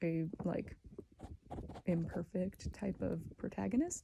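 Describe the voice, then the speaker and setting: Soft-spoken and fairly low in pitch, a woman talks with vocal fry and a dark, mellow tone. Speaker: ASMR creator. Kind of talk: ASMR soft-spoken chatty talk.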